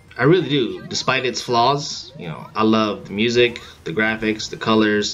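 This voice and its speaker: A man speaks with music playing in the background. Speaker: gaming video uploader. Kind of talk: video game commentary read from script. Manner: hesitant, unpolished delivery.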